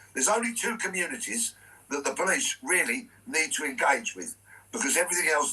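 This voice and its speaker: With a bright, sharp tone, a man talks at a moderate pace while his pitch swings very widely. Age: 60s. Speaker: former police officer and stage performer. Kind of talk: radio interview. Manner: emphatic.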